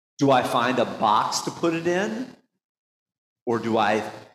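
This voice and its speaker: A man talks at a very slow pace with lively intonation, and the room echo is audible. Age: 50s. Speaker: pastor. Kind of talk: sermon. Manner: animated.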